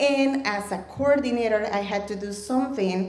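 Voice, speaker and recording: A woman with a Mexican accent speaks at a fairly high pitch and with fairly even intonation, amid audible room echo and noticeable background noise. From Mexico. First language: Spanish. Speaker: storyteller, ESL educator. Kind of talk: live storytelling. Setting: stage with audience.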